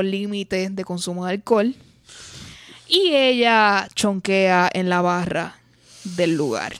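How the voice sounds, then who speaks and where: An ordinary speaking voice, a woman's, at a medium pitch and fairly slow pace with ordinary pitch variation, in a very clean recording with a silent background. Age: late 20s. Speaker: podcast host. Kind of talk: casual chat.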